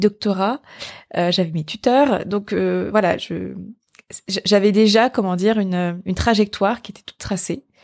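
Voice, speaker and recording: This woman speaks at a fairly slow pace. Her pitch varies in an ordinary way. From Brittany, France. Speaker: entrepreneur and podcast host. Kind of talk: solo podcast monologue. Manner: hesitant, many fillers and repetitions.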